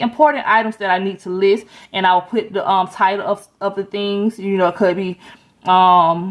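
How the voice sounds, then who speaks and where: At a fairly quick pace, a woman with a normal speaking voice talks at a medium pitch with fairly even intonation. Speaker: lifestyle vlogger. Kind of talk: planner walkthrough tutorial. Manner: casual, chatty.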